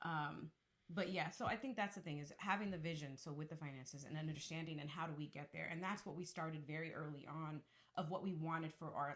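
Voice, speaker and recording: Fairly low in pitch, a woman talks at a very fast pace with ordinary pitch variation. Her voice is somewhat breathy. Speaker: podcast co-host, wife and mother. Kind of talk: casual chat. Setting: home studio. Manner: soft-spoken.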